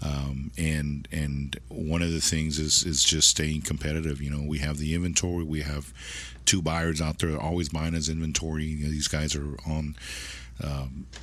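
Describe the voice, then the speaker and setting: Speaking at a moderate pace in an American accent, a man uses a very deep, low voice with monotone, flat intonation and audible room echo. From South Texas. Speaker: used car dealership manager. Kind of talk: casual interview chat. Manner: halting, many repetitions.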